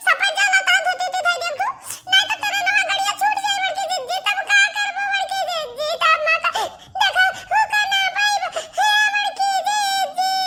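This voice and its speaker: A woman puts on a cartoonish character voice at an extremely high pitch. She keeps a moderate pace over light background noise. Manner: repetitive, keeps calling out.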